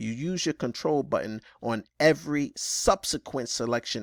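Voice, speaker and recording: On a very clean recording with a silent background, a man with vocal fry speaks at a medium pitch with ordinary pitch variation, the sound dry and close with no echo. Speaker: computer skills teacher. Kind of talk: tutorial.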